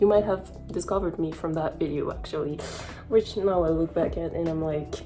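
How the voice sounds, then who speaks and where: A woman with a French accent, fairly low in pitch, fairly even in intonation and fairly quick in pace, over music in the background. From France. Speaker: beauty youtuber. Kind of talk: casual chat.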